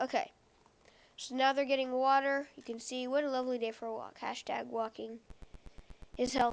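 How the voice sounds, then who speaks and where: A high-pitched woman at a moderate pace, with monotone, flat intonation. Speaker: gaming YouTuber. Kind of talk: gameplay commentary.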